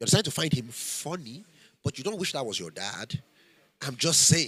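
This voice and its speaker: This man's pitch is fairly high, with very wide swings. Vocal fry runs through his voice. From Nigeria, Benin City. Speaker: film industry speaker at a workshop. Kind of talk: lecture. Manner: fast; animated.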